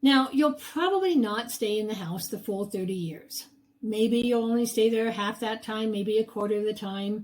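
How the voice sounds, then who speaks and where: A woman's somewhat breathy voice sits at a fairly high pitch, moving at a moderate pace with ordinary pitch variation. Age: 70s. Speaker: real estate agent. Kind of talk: sales pitch.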